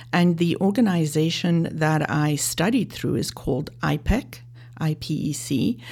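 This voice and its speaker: A woman with a very deep, low pitch and vocal fry speaks at a moderate pace with lively intonation. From South Africa, Johannesburg. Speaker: life and leadership coach. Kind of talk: interview.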